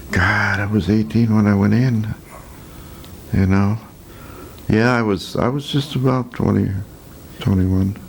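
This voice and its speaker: With an American accent, the speaker goes at a fairly slow pace, with very even loudness, ordinary pitch variation and long, frequent pauses. Noticeable background noise is present. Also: man, fairly low pitch for a man. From Chicago, US Midwest. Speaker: war veteran. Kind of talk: oral history interview. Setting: filmed interview.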